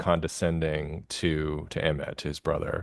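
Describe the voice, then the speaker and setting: A man with an American accent talks over a quiet background. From Kentucky, USA. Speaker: novelist. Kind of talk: interview answer.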